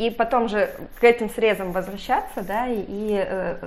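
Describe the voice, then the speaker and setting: Noticeable background noise surrounds a woman who talks fairly slowly with fairly even intonation. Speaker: team leader. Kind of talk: interview.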